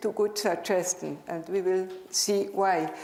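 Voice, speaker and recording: Speaking at a moderate pace, a woman has a Swiss German accent. Room echo is audible along with noticeable background noise. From Switzerland (German-speaking). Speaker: dental professor. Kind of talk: conference lecture. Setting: stage with audience.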